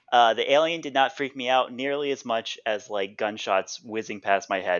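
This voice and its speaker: Here a man is speaking. He keeps a moderate pace. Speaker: podcast co-host. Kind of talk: casual chat. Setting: art studio.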